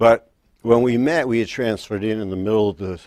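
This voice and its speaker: Pitch shifts in an ordinary way. The pace stays moderate. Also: man. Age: 60s. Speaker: self-help vlogger. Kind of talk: personal testimony. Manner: casual.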